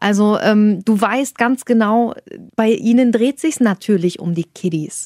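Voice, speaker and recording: A woman speaks at a fairly slow pace in an ordinary speaking voice, her pitch medium. The sound is dry and close with no echo, and the recording is very clean over a silent background. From Saxony-Anhalt. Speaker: podcast co-host. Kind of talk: casual chat.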